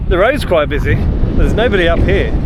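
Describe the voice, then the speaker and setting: Over noticeable background noise, a man with a southern English accent speaks at a very fast pace. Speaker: outdoor vlogger. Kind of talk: walking vlog narration. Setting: outdoors. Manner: casual, chatty.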